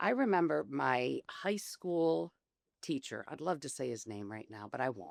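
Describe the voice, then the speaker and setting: A woman speaks loud at a moderate pace with very wide pitch swings. The recording is very clean, with a silent background. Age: 50s. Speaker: business founder. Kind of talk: roundtable discussion. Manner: energetic.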